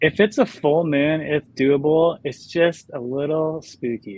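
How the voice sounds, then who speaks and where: A man's fairly high voice with a Southern Californian accent, lively intonation and a very slow pace. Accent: Southern California American. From Los Angeles, San Fernando Valley. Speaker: artist. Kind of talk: casual chat.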